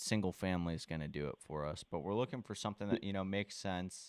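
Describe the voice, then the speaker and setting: A man with a Southern US accent and ordinary pitch variation, on a very clean recording with a silent background and a dry, close sound with no echo. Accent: Southern speech habits. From US South, Charleston, South Carolina. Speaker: real estate wholesaler. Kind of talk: cold call to a property owner. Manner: casual, hesitant with fillers.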